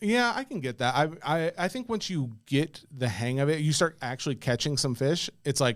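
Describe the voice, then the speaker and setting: A man's fairly high voice with an American accent, lively intonation and a moderate pace, on a very clean recording with a silent background. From US South, Middle Tennessee (Nashville). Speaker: podcast co-host. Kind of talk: casual chat.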